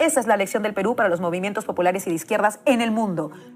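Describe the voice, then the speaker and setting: Music plays in the background as a woman speaks in a Peruvian accent. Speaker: political commentator. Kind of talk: political speech. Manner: impassioned.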